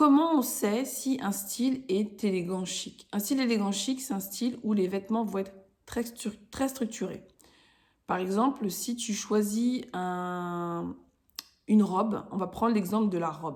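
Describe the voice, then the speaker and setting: At a fairly slow pace, a woman speaks in a somewhat breathy voice. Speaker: podcast host, style coach for women entrepreneurs. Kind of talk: casual tutorial podcast. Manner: casual, hesitant with fillers.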